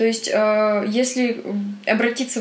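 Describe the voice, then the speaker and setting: Noticeable background noise behind a woman speaking at a medium speed. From Perm, Russia. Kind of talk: casual chat.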